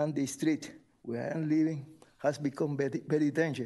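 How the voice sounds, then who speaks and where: With a Spanish accent, a man speaks at a moderate pace. His voice is fairly high in pitch with a dark, mellow tone. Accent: non-native English, Spanish-speaking. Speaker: resident making public comment. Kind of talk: public comment at city meeting. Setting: city commission meeting. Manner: halting.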